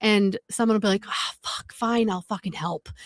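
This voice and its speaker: A woman with an American accent and a fairly high pitch talks at a moderate pace, her voice sounding dry and close with no echo on a very clean recording with a silent background. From New England. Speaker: livestream co-host. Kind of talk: casual chat. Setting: live stream.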